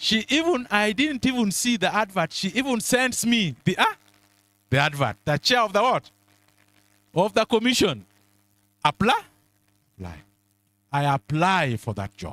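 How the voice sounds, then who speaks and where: A man's high-pitched, bright and sharp voice with very wide pitch swings and long, frequent pauses, in a dry, close recording without echo. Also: moderate pace. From Kenya, Nyanza (Luo). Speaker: mentorship speaker, senior professional. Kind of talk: motivational talk. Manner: interactive call-and-response questions.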